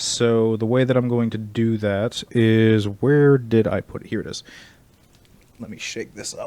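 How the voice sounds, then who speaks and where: Quietly, a man speaks at a medium pitch and a fairly slow pace in a dark, mellow, monotone voice with flat intonation. His loudness rises and falls in big swings. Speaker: streamer painting miniatures. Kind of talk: casual livestream tutorial.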